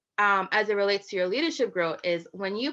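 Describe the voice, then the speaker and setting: Against a quiet background, the voice has a bright, sharp tone, lively intonation and a fairly quick pace. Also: woman. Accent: slight West Indian. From Virgin Islands. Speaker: business consultant and keynote speaker. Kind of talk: keynote speech. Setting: conference keynote.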